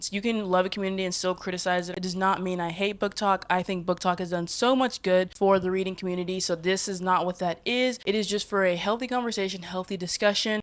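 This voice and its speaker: An animated tone at a very fast pace, with hardly any pauses. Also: woman, medium pitch for a woman. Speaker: book video creator. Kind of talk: casual vlog commentary.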